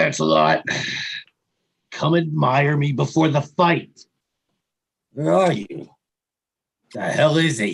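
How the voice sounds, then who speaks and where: Putting on a raspy character voice at a fairly high pitch, a man speaks at a fairly slow pace with long, frequent pauses. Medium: stage play. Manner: imperious.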